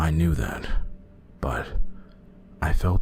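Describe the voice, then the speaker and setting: With music in the background, a man speaks at a moderate pace with ordinary pitch variation. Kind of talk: horror story narration.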